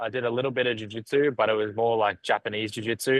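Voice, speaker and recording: With ordinary pitch variation, a man talks in a dry, close sound that has no echo. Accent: Australian. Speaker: professional MMA fighter. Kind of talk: podcast interview.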